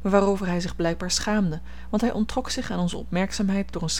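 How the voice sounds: Pitch variation is ordinary. The reading voice comes across as natural.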